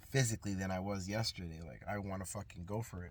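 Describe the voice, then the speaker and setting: Speaking fairly quickly with a New York accent, a man keeps a fairly low pitch and ordinary pitch variation. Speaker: fitness vlogger. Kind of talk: casual vlog monologue. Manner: casual, hesitant with fillers.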